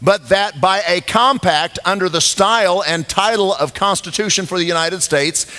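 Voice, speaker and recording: The man uses a raised, projected voice at a moderate pace. He shows ordinary pitch variation and hardly any pauses. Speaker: pastor speaking at event. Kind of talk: sermon. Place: church.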